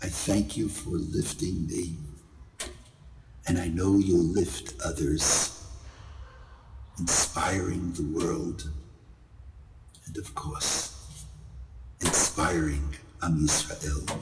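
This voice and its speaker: With long, frequent pauses at a very slow pace, a man speaks at a very deep, low pitch amid audible room echo and noticeable background noise. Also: ordinary pitch variation. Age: 70s. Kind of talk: recorded video blessing.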